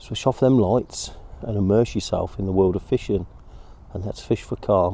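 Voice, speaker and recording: Speaking in an East Midlands accent, a man has a relaxed tone and a moderate pace. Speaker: angling video host. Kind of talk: casual outdoor vlog narration. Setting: outdoors on a riverbank. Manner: whispering a bit; relaxed, hesitant with fillers.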